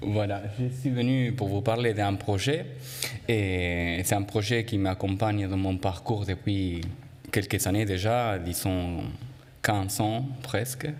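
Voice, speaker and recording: In an Argentine accent, a man speaks at a very slow pace with a fairly low pitch and very even loudness. Audible room echo surrounds his voice. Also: ordinary pitch variation. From Argentina, Buenos Aires. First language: Spanish (speaking French). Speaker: choreographer and linguist. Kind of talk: conference talk. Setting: conference room with audience. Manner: hesitant, many fillers.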